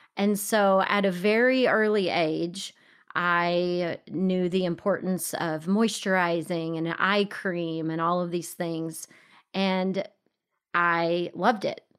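A woman with a Texan accent speaks at a very slow pace, her pitch fairly low and her intonation fairly even. The recording is very clean, with a silent background. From Texas. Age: 40s. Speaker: podcast host and entrepreneur. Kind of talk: interview conversation.

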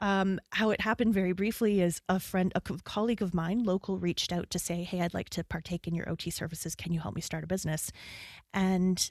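In an ordinary speaking voice, a woman talks at a fairly quick pace with medium pitch and fairly even intonation. The recording is very clean, with a silent background and a dry, close sound with no echo. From Canada; Calgary, Alberta. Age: 50s. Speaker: business consultant and occupational therapist. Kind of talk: casual interview conversation.

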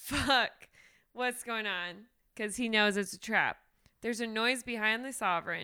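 This is someone reading aloud in a natural voice with fairly even intonation.

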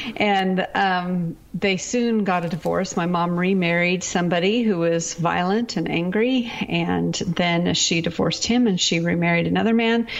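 A woman with an American accent talks at a fairly slow pace with hardly any pauses, a fairly low pitch, fairly even intonation and very even loudness, over noticeable background noise. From US Pacific Northwest. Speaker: author and speaker. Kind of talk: testimony.

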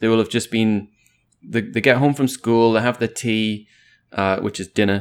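The speaker has an English accent and a moderate pace. The intonation stays fairly even. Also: man, medium pitch for a man. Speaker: podcast guest. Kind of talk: casual chat.

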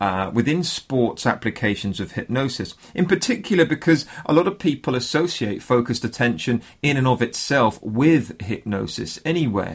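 A man with a British accent speaks in a warm, enthusiastic tone at a medium pitch. His pace is moderate, with hardly any pauses. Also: lively intonation. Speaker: podcast host. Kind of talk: scripted intro mixed with interview chat. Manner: warm, friendly, enthusiastic.

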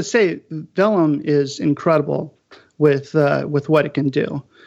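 A man's normal speaking voice, fairly high in pitch, at a fairly slow pace. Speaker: book designer. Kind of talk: panel discussion.

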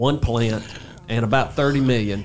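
A man at a medium pitch and moderate pace, with ordinary pitch variation over noticeable background noise. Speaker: podcast host. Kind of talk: interview. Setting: studio.

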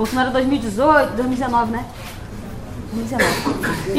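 A woman speaks in a Carioca accent at a high pitch. Background noise is noticeable. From Rio de Janeiro. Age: 20s. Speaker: poet and rapper. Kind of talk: talk to university class. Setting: auditorium with audience and microphone. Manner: animated.

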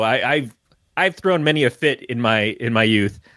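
A man with an American accent has a bright, sharp tone, heard in a dry, close sound with no echo on a very clean recording with a silent background. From Michigan. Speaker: podcast guest co-host. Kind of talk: casual chat.

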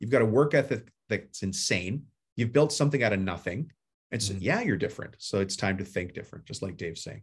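Speaking at a very fast pace, a man with a fairly low pitch and a somewhat breathy sound uses lively intonation. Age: 50s. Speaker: home service business coach and contractor. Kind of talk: casual interview. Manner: plain everyday talk.

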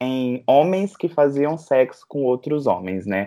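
A man with a dark, mellow tone and lively intonation at a very slow pace, on a very clean recording with a silent background. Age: 20s. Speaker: psychology student and researcher. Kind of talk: podcast interview.

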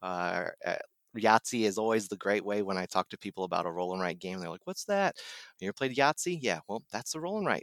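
A man with an American accent, fairly low in pitch, at a fairly quick clip with lively intonation, in a dry, close sound with no echo. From Ohio, Dayton area. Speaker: board game designer. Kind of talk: interview. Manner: halting, many fillers.

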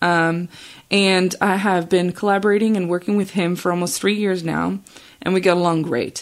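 At a moderate pace, a woman speaks in a fairly low pitch with ordinary pitch variation, an unremarkable speaking voice. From Australia, then Chicago suburbs from age 15. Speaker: nurse practitioner and podcast host. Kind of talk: solo podcast monologue. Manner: casual with frequent fillers.

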